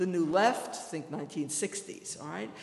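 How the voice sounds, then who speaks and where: A woman speaks in a New York accent. Her pitch varies in an ordinary way. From New York City. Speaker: history professor. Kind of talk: lecture. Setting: stage with audience.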